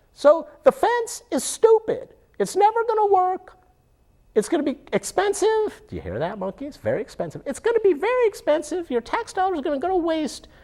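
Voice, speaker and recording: This is a cartoonish character voice at extremely high pitch. The pace is fairly quick. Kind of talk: casual puppet show political commentary. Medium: puppet. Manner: excitable, rambling.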